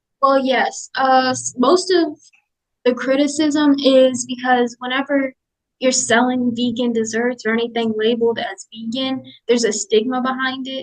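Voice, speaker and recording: Her pitch high for a woman, she speaks at a moderate pace with fairly even intonation. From grew up partly in South Korea, military family. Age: young, 18. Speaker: vegan baker and business owner. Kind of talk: interview answers.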